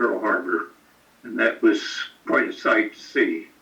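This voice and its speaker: A man with an American accent talks at a moderate speed, with noticeable background noise behind him. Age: 90s. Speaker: war veteran. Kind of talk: interview. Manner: halting.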